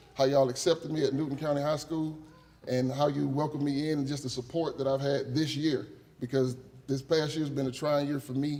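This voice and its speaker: A man with a fairly high pitch at a fairly quick pace, plus audible room echo and noticeable background noise. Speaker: teacher. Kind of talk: acceptance speech. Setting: stage with audience. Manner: animated.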